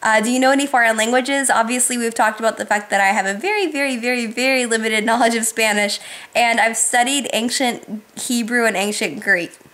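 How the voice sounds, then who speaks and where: A woman's fairly high voice at a very fast clip with hardly any pauses, fairly even intonation, and noticeable background noise. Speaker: YouTuber. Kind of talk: casual Q&A vlog.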